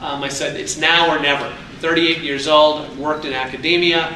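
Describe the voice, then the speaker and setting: Noticeable background noise and audible room echo accompany a man with an American accent, speaking at a moderate pace and a fairly high pitch. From New York City region. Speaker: entrepreneur and alumni speaker. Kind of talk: speech. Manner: animated.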